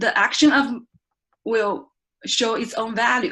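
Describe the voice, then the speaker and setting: This woman has a high-pitched voice. She speaks with a Chinese accent. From China. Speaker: research scientist giving first club speech. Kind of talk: prepared speech. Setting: speaking club meeting. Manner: halting.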